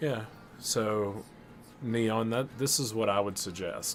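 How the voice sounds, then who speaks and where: A man's fairly low voice at a fairly slow pace, with music in the background. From US South, Alabama. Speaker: gaming streamer. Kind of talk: live stream chat with viewers. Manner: casual, conversational.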